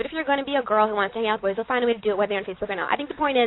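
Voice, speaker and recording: Woman with a fairly high pitch and ordinary pitch variation. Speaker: educator defending a girls' school policy. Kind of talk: radio talk show debate. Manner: loud.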